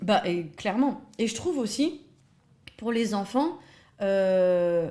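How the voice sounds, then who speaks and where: A woman speaks very slowly in a dark, mellow tone, her fairly high pitch rising and falling in very wide swings. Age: 30s. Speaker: early childhood educator. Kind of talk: interview. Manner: hesitant with many fillers.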